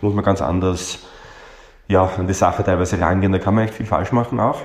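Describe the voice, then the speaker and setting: A man's somewhat breathy, very deep, low voice at a fairly quick pace, with a Viennese accent. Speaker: coach trainer and psychotherapist. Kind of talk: interview.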